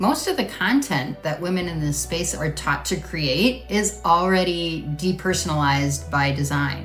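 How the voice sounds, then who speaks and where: At a moderate pace, a woman is speaking. Music plays in the background. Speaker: marketing coach for women in network marketing. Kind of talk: casual talk to camera. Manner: conversational, earnest.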